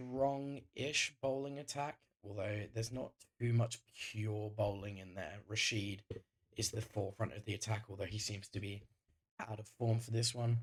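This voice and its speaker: This man has a fairly low pitch and a somewhat breathy sound. He keeps a moderate pace with fairly even intonation. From northern England, Greater Manchester. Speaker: gaming YouTuber. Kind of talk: gameplay commentary. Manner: casual, frequent filler ums.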